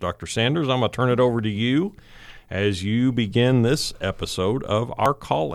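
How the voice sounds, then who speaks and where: Medium pitch and a fairly quick pace from a man with a plain, everyday voice. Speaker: podcast host, college advancement director. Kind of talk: scripted podcast intro and outro.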